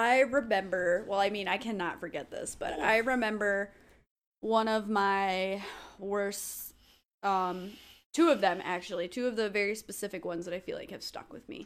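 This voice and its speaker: A woman's unremarkable speaking voice at medium pitch, ordinary pitch variation, moderate pace and big swings in loudness, in a very clean recording with a silent background. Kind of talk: casual comedic chat.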